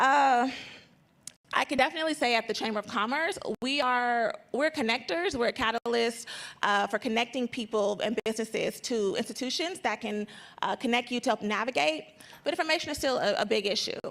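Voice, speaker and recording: A woman speaks at a fairly quick pace. Her pitch is high. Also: lively intonation. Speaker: trade coordinator at a chamber of commerce. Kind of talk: panel discussion. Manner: fast; halting.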